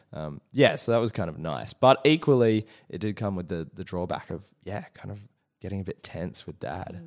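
Speaking with an Australian accent, a man uses a fairly low pitch and lively intonation at a moderate pace. The recording is very clean, with a silent background. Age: 20s. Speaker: youth mental health worker and performer. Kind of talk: casual chat.

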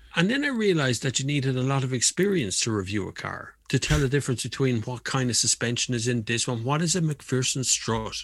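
A man with an Irish accent, somewhat breathy, talking at a fairly quick pace with lively intonation and hardly any pauses. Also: medium pitch for a man. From Ireland. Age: 40s. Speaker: motoring journalist and YouTuber. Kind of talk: casual chat.

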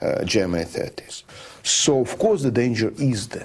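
A man with a Georgian accent speaks at a medium pitch with lively intonation. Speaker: friend and local guide. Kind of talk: interview.

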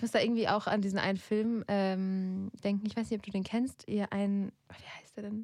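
A woman talks at a moderate pace with a medium pitch, hardly pausing at all. Her intonation is flat and monotone, though her loudness swings widely. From Germany, grew up in a village. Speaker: podcast host, editor. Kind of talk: casual chat; reading aloud. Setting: studio.

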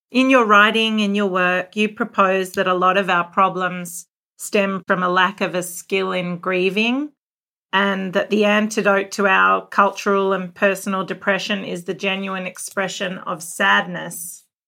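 In an Australian accent, a woman talks with a bright, sharp tone and monotone, flat intonation. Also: medium pitch for a woman, fairly slow pace. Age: 40s. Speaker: podcast host. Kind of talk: interview conversation. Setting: video call.

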